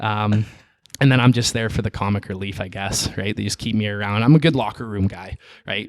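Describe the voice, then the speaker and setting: A man with a Canadian accent and a normal speaking voice talks at a fairly quick pace in a fairly low pitch with fairly even intonation, on a very clean recording with a silent background. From western Canada. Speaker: CrossFit athlete. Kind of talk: casual interview chat.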